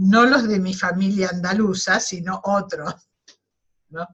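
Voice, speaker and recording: A somewhat breathy woman's voice at medium pitch. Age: 70s. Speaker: webinar participant. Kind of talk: personal testimony in group discussion. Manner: halting.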